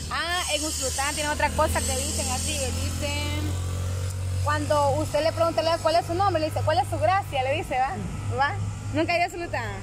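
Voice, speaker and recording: Noticeable background noise runs under a woman talking at a fairly quick pace. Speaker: elder telling local sayings. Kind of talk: casual talk to camera. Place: garden. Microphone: phone near.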